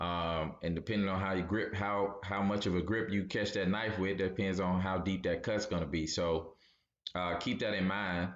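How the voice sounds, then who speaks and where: In a room with audible echo, a man speaks with a very deep, low pitch, a monotone, flat intonation and very even loudness. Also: moderate pace. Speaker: trader and financial educator. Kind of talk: educational video monologue. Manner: casual, conversational with fillers.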